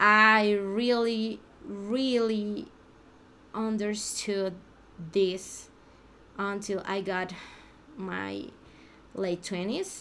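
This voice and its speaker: A woman speaks very slowly in a Mexican accent, pausing long and often, at medium pitch with fairly even intonation. Her tone is bright and sharp, and the room echo is audible. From Mexico. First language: Spanish. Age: 30s. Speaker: language learner vlogger. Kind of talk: unscripted practice monologue. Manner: halting, many restarts and fillers.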